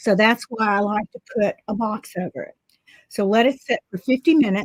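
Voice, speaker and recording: A somewhat breathy woman speaks at a fairly slow pace with a fairly high pitch and ordinary pitch variation. The sound is dry and close, with no echo. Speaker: art instructor. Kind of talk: tutorial. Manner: casual, chatty.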